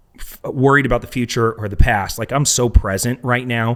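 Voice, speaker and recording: On a very clean recording with a silent background, a man with an American accent speaks at a fairly quick pace with ordinary pitch variation. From Arizona, US. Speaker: real estate entrepreneur. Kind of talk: podcast interview. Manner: loud; animated.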